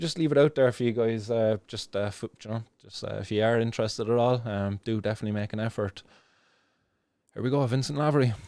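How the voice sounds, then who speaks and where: Talking at a very fast pace, a man speaks in a Cork accent. His pitch is medium, with ordinary variation. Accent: Irish (Cork). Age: 30s. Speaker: cannabis activist vlogger. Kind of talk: casual video commentary. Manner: halting, many fillers and restarts.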